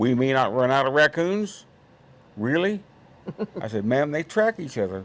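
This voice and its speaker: A man with an Indiana accent and very wide pitch swings. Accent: Midwestern US (Indiana). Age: 80s+. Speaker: trapper and conservationist. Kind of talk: casual chat.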